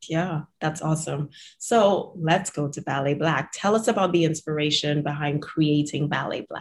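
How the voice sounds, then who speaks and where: A woman with a very deep, low pitch and ordinary pitch variation speaks somewhat breathily at a moderate pace, with hardly any pauses. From Trinidad. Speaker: podcast host, physical therapist. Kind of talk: interview; scripted outro.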